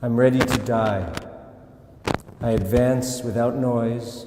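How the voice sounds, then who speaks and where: Over noticeable background noise, a man talks at a fairly slow pace in a medium pitch. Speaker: actor. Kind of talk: poetry reading.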